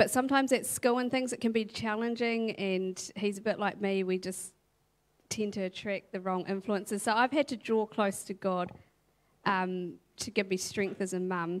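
Fairly even intonation accompanies speech at a moderate pace. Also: woman, medium pitch for a woman. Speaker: church member, mother. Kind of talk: testimony. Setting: church stage. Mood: reflective, warm, earnest. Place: stage. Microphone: handheld.

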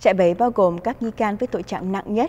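Fairly quick in pace, a woman speaks in a dark, mellow tone. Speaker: news anchor. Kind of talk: news reading. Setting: studio. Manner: formal.

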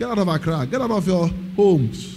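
An animated tone with ordinary pitch variation and light background noise. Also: man. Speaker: preacher. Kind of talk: sermon. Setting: church. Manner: animated, rhetorical, call-and-response with the congregation; emphatic, repeating phrases. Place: church. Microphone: handheld.

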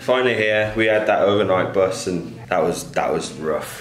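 Moderate-paced male speech amid light background noise and audible room echo. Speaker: travel vlogger. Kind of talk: casual vlog chat. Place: home room. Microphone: phone near.

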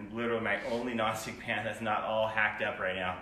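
In a room with audible echo and light background noise, a man with a fairly low pitch talks at a very fast pace. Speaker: home cook demonstrating seasonings. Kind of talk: cooking tutorial. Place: kitchen. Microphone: phone near.

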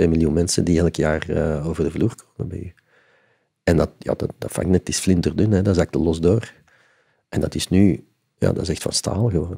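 A man's very deep, low voice with a dark, mellow tone, moderate pace and fairly even intonation against a quiet background. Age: 50s. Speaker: concert venue executive; podcast guest. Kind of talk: interview. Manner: halting. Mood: reflective, calm. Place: studio. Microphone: studio mic.

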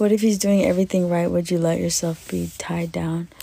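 Vocal fry colors a dark, mellow tone that moves at a fairly quick pace with fairly even intonation. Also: woman, fairly low pitch for a woman.

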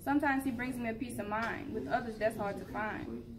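A fairly high-pitched woman at a fairly quick pace, playful and confident in tone, over noticeable background noise. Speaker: open mic poet. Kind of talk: spoken word poetry performance, rhythmic rhyming verse about love and hustle. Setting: open mic event. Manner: rhythmic, rhyming cadence with playful, confident, animated delivery. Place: hall. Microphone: camera far.

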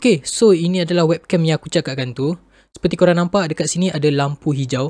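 A man's fairly high voice at a very fast pace with ordinary pitch variation, in a dry sound with no echo against a quiet background. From Malaysia. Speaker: YouTuber, tech reviewer; tech reviewer. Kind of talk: product review. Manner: casual. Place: home room. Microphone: built-in webcam microphone; studio mic.

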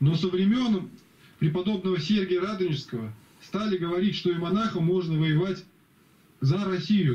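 The man's voice sits high in pitch. Its tone is dark and mellow. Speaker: religious speaker in group call. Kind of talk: group Bible study discussion. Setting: video call. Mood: critical, earnest. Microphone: video call.

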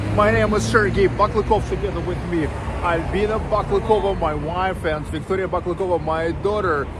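A man speaks at a fairly slow pace. The sound is dry with no echo, and background noise is loud. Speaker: travel vlogger. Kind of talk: casual vlog chat. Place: street. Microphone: phone near.

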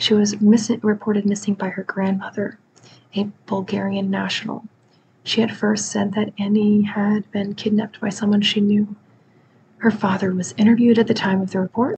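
Soft-spoken and somewhat breathy, the voice keeps a moderate pace and a monotone, flat intonation over light background noise. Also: woman. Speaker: true crime storyteller. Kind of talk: soft-spoken true crime narration. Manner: soft-spoken, close-mic, hushed. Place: home room. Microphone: studio mic.

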